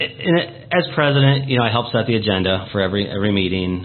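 A man with a Midwestern American accent speaks at a fairly quick pace in a fairly low voice. Audible room echo and noticeable background noise fill the recording. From Portage Township, northwest Indiana. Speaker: county council president. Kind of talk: radio interview.

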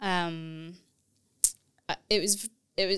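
A woman with a Texas accent speaks at a fairly low pitch with ordinary pitch variation. The recording is very clean and dry, close with no echo, over a silent background. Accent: Texas-American. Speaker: theology lecturer. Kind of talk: casual academic conversation.

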